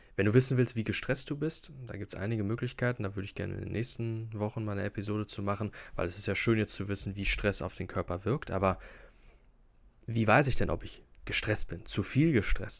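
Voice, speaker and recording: On a very clean recording with a silent background, a man talks at a fairly quick pace in a fairly low pitch. His is an unremarkable speaking voice with ordinary pitch variation. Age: 20s. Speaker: health podcaster. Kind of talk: solo educational talk. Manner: casual, with fillers and repetitions.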